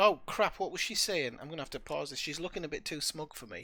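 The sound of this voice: A man is talking. His pitch is fairly high and his tone bright and sharp.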